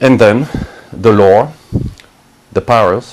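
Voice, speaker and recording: The man's speech has fairly even intonation and a moderate pace, with noticeable background noise behind it. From France, Brittany. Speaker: spiritual healer. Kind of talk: interview monologue.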